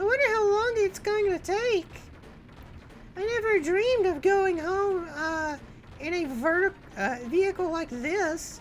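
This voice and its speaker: Doing a put-on character voice at an extremely high pitch, a woman speaks in a lively intonation at a fairly slow pace with long, frequent pauses over clear background noise. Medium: virtual streamer. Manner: curious, naive, bratty.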